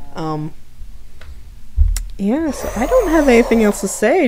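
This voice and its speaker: Through noticeable background noise, a woman's voice moves in very wide pitch swings, broken by long, frequent pauses. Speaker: streamer. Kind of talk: casual chat. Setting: live stream. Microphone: laptop.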